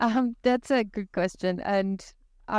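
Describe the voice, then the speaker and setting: The speaker talks at a fairly slow pace with ordinary pitch variation. The voice carries a Brazilian accent. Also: woman. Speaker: technology services consultant. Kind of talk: podcast interview.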